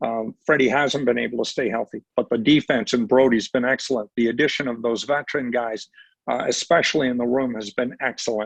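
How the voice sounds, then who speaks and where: A man speaks in a normal speaking voice at a medium pitch and a fairly quick pace. His intonation stays fairly even, and the sound is dry and close with no echo. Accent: Canadian. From Ontario, Canada. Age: 60s. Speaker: retired sports broadcaster. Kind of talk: podcast interview. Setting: podcast.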